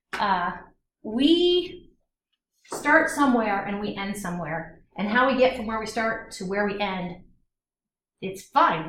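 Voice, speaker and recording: A somewhat breathy woman speaks fairly slowly in an animated tone, with big swings in loudness, very wide pitch swings, long, frequent pauses and audible room echo. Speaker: chemistry instructor. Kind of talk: lecture.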